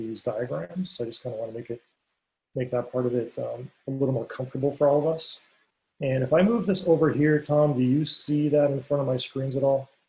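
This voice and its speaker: A man's medium-pitched, somewhat breathy voice with a dark, mellow tone, fairly even intonation and a fairly quick pace. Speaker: technology vendor presenter. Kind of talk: online conference presentation. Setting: video call. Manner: fast.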